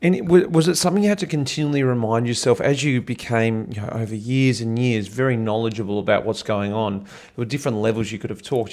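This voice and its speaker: A man delivers his words fairly quickly in a plain, everyday voice, pitched at a medium level with ordinary pitch variation. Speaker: podcast host. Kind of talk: podcast interviewer, casual conversation.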